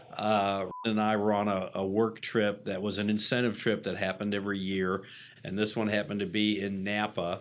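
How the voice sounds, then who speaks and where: Speaking at a fairly quick pace, a man with a fairly low pitch keeps a monotone, flat intonation. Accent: American. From Atlanta, US South. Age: 50s. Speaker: recovering alcoholic, hotel franchising executive. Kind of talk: interview testimony. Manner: halting, many fillers.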